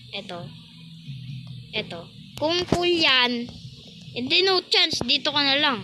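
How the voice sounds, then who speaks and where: With music playing in the background, a woman speaks at a fairly slow pace. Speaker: gaming YouTuber. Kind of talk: gameplay commentary. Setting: alone in private game server. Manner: soft-spoken; casual, halting.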